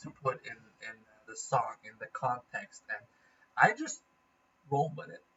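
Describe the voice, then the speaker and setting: A man with a Norwegian accent talks at a moderate pace. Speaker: gaming vlogger. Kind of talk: casual vlog update.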